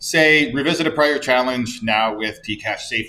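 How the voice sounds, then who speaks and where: Loud and bright, with a sharp tone, a man speaks at a moderate pace. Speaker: university course instructor. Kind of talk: office hours tutorial. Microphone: camera mic after laptop mic fix.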